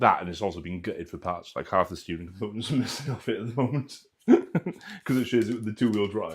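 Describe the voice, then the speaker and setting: A man with a Welsh accent at a very fast pace, medium pitch and ordinary pitch variation, in a very clean recording with a silent background. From Wales. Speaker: RC hobby livestream host. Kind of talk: casual chat. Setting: live stream.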